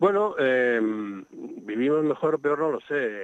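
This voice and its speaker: A man with a fairly high pitch speaks with lively intonation in a plain, everyday voice. The sound is dry and close, with no echo. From Spain, Madrid. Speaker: nature sound recordist and author. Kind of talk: radio interview.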